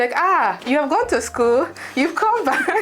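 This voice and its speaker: A woman talks with a Nigerian accent and lively intonation at a moderate pace. There is noticeable background noise. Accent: Nigerian accent, kept despite years in UK. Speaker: fashion designer and content creator. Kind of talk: interview.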